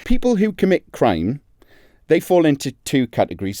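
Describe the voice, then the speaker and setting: A man talks at a fairly quick pace in a dark, mellow tone. The recording is very clean with a silent background, and the sound is dry and close with no echo. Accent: Geordie. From northern England, Newcastle (Geordie). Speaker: crime journalist, podcast co-host. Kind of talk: casual podcast chat.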